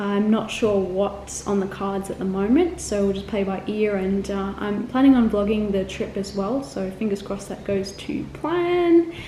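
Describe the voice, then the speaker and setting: With an Australian accent, a woman talks at a moderate pace and medium pitch with hardly any pauses, over noticeable background noise. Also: ordinary pitch variation. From Australia, Melbourne (also lived in Korea, England, Singapore). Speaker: travel vlogger. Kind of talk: casual vlog chat. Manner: chatty, with many fillers.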